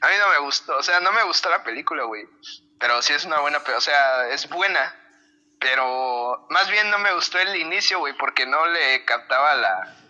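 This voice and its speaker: Noticeable background noise accompanies a man with a high pitch. He speaks at a moderate pace with lively intonation. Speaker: guitarist. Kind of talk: casual chat.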